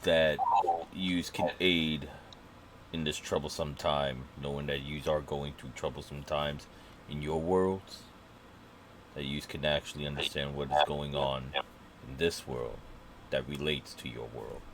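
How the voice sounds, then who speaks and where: Putting on a character voice, a man speaks at a fairly slow pace in a very deep, low pitch, with long, frequent pauses and clear background noise. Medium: actual play. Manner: formal, polite.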